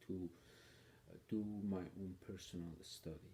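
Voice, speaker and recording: His tone is dark and mellow, and somewhat breathy. The man's pitch is very deep and low. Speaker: political commentator. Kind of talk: personal video monologue. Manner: hesitant, with fillers.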